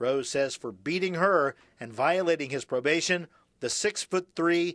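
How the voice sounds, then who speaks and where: A man with an ordinary speaking voice talks at a moderate pace and a fairly high pitch, with ordinary pitch variation. The recording is very clean and dry, close with no echo, over a silent background. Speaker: TV news reporter. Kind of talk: TV news reporter package narration.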